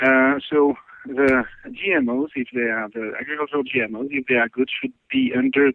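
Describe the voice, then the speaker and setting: In a French accent, a man of medium pitch talks fairly quickly with fairly even intonation. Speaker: scientist. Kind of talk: interview. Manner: halting.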